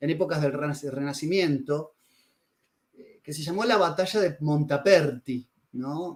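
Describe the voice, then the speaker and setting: Speaking in a Rioplatense accent, a man talks at a fairly slow pace with a fairly high pitch and big swings in loudness. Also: ordinary pitch variation. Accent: Argentine Rioplatense Spanish. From Argentina, Rosario. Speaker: writer on religion and philosophy, interviewee. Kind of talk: interview. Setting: video call over internet.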